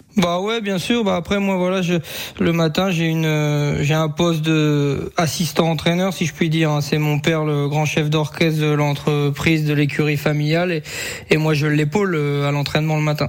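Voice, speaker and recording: A man's fairly high voice, fairly even in intonation, at a moderate pace. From France, Sarthe. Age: 20s. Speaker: harness racing driver and jockey. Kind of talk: radio interview. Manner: hesitant, many fillers.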